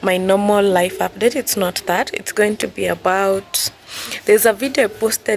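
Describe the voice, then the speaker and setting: At a moderate pace and medium pitch, a woman speaks with noticeable background noise around her. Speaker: surveyor and vlogger. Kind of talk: tutorial; casual vlog intro. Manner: casual, slightly halting.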